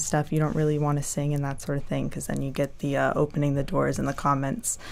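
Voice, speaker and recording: A woman speaks with a North Carolina accent. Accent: American (North Carolina). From US South, North Carolina. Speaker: graduate student, science communication. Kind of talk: casual interview chat. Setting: studio.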